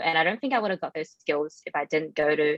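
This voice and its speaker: A woman with a non-native accent, fairly low in pitch with ordinary variation, in a dry, close sound with no echo. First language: not English. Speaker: IT professional, former international student. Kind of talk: panel discussion. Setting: webinar.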